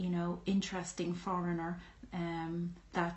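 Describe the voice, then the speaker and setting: A woman's fairly low, somewhat breathy voice in a strong Irish accent, flat and monotone at a moderate pace, with audible room echo. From Ireland. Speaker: YouTuber. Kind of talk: personal vlog monologue. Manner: hesitant, many fillers.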